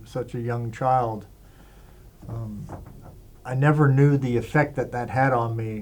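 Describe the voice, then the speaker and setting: A man's medium-pitched voice, with fairly even intonation, carries audible room echo. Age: 60s. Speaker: interviewee sharing life story. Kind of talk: interview testimony. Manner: hesitant, many fillers.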